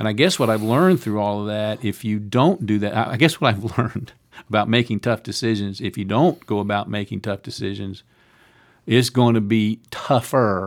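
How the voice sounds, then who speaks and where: Over a silent background on a very clean recording, a man speaks at a moderate pace with ordinary pitch variation. His is an unremarkable speaking voice, fairly low in pitch. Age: 60s. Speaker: university president and former pastor. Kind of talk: casual interview. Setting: studio.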